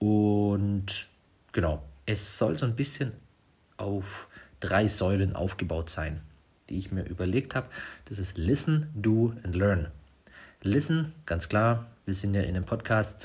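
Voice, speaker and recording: Somewhat breathy and fairly low-pitched, a man speaks at a very slow pace with lively intonation and long, frequent pauses. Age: 30s. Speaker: podcast host, smartphone photography trainer. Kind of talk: casual solo podcast monologue. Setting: at home at night, quiet house. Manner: hesitant, many filler sounds.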